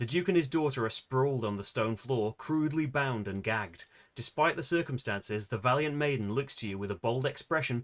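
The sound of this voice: The reading voice here sounds unforced.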